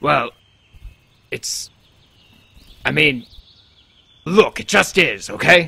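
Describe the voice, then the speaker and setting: A put-on character voice comes across raspy and very slow. Long pauses break it up frequently. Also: man, high pitch for a man. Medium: machinima. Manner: flustered, exasperated.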